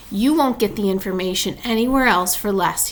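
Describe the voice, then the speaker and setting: Using a put-on character voice, a woman talks at a fairly quick pace and medium pitch with hissing sounds, over clear background noise. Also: ordinary pitch variation. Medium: read story. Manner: low-voiced, sly.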